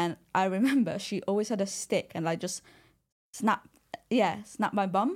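A woman with an Italian accent, medium in pitch, at a fairly slow pace, on a very clean recording with a silent background. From Italy. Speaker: personal trainer. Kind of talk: casual chat.

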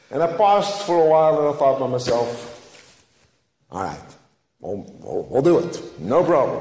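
A man keeps a moderate pace while his voice carries audible room echo. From Netherlands. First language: Dutch. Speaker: lay preacher, flower farmer. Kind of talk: sermon. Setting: church.

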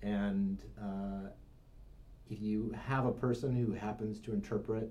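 A man speaks in a fairly low pitch with a dark, mellow tone. His voice is somewhat breathy. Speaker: brain researcher and meditator. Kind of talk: casual chat.

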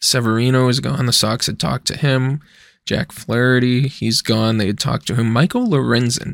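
A man with an unremarkable speaking voice talks at a moderate pace and medium pitch, his intonation fairly even, on a very clean recording with a silent background. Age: 20s. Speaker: sports podcast host. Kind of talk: solo casual commentary.

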